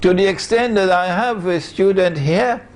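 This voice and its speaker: Background noise is clearly present. Over it, a man talks rather slowly. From Trinidad and Tobago. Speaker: Islamic scholar. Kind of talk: lecture.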